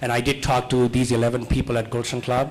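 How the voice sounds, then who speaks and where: A man's moderate pace is heard with audible room echo. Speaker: comedian. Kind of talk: stand-up. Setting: stage with audience. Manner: animated.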